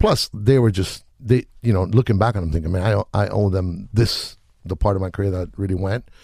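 Speaking very fast with a Spanish accent, a man has a fairly low, somewhat breathy voice and a dark, mellow tone. The recording is very clean, with a silent background. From Chile. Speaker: music producer. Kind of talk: casual interview chat. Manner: relaxed, laid-back slang.

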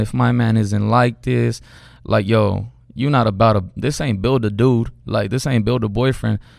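A man's unremarkable speaking voice, medium in pitch, at a moderate pace. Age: 20s. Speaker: barber and photographer. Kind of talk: casual chat.

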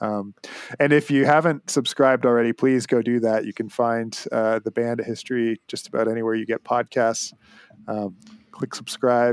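Here a man has an unremarkable speaking voice at medium pitch. He talks at a moderate pace with fairly even intonation in a dry, close sound with no echo. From Canada. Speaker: music podcast host. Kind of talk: casual chat.

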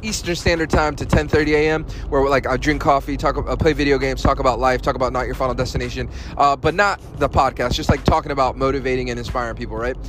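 Noticeable background noise sits under the recording. A man speaks over it at a very fast pace. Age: 30s. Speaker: podcast host. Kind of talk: casual monologue. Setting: on the way to work. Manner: conversational with many fillers.

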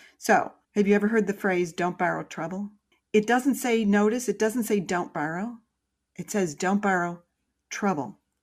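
At a moderate pace, a woman of medium pitch talks in an ordinary speaking voice with ordinary pitch variation, captured on a very clean recording with a silent background. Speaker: financial educator. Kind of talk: explanatory chat.

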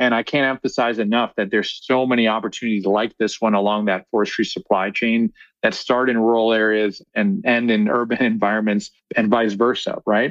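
A man with an American accent has an unremarkable speaking voice at a medium pitch. He moves at a fairly quick pace with fairly even intonation and very even loudness. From US Midwest, Chicago. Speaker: reforestation scientist and executive. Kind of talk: interview.

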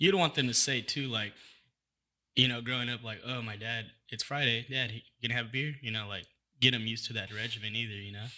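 Very fast speech with an American accent comes through in a bright, sharp tone and fairly even intonation. The background is quiet. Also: man, medium pitch for a man. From Sacramento, California. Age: 30s. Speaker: taco business owner. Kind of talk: casual chat.

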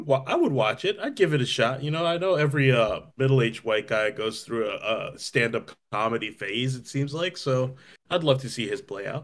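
This man has a normal speaking voice at a medium pitch. He talks at a fairly quick pace with lively intonation. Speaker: podcast co-host. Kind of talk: casual comedic banter.

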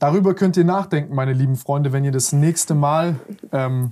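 A man speaks at a moderate pace in a fairly high pitch with a dark, mellow tone and ordinary pitch variation. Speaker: podcast host. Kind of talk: casual interview.

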